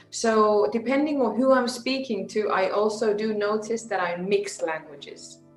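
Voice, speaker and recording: Moderate pace, ordinary pitch variation and hardly any pauses, in a Finnish accent, with music in the background. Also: woman, fairly high pitch for a woman. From Andalusia, Spain (multilingual upbringing). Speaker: communication and public speaking coach. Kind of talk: casual interview chat.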